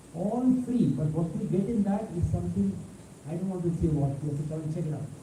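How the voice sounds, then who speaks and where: Amid audible room echo and noticeable background noise, a man with a fairly high pitch talks at a very fast pace with lively intonation. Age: 70s. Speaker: professor. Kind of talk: lecture. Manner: animated.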